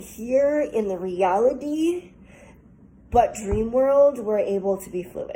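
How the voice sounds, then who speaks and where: Her voice sits at a fairly high pitch with a dark, mellow tone. The woman speaks at a fairly slow pace. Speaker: tarot reader. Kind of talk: collective tarot reading. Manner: halting, stuttering.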